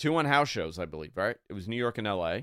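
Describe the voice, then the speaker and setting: In a very clean recording with a silent background, a man speaks in a bright, sharp tone with lively intonation. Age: 40s. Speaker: wrestling radio host. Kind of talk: sports radio talk show. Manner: animated.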